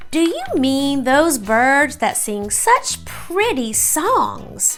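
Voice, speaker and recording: Clear music plays behind a woman using a put-on character voice. She speaks at a very slow pace. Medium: read story. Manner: loud, hearty.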